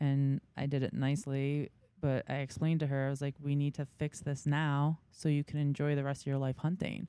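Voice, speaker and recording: A woman's very deep, low, dark and mellow voice in a New York accent, monotone and flat, at very even loudness and a fairly quick pace, in dry, close sound with no echo. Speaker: big game hunter. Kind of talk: casual interview chat.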